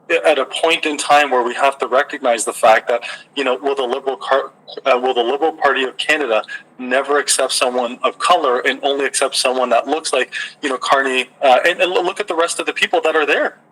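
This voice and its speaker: Fairly quick and fairly even in intonation, a man speaks at a fairly high pitch. Noticeable background noise is present. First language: not English. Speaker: podcast host. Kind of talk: interview. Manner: halting.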